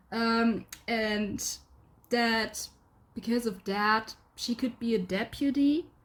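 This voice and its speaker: A somewhat breathy woman at a very slow pace, fairly high in pitch with fairly even intonation and long, frequent pauses. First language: not English. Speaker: gaming video creator. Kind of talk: casual commentary. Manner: hesitant.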